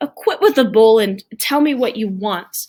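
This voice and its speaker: In a put-on character voice, the speaker growls at a moderate pace. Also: woman, fairly high pitch for a woman. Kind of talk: curt, blunt. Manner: snarling.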